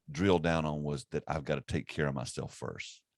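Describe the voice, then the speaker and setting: In a Southern US accent, a man with a very deep, low pitch speaks at a moderate pace, the sound dry and close with no echo. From US South (South Carolina). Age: 50s. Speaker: ministry network executive director and podcast host. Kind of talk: casual chat. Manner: halting, with frequent repetitions.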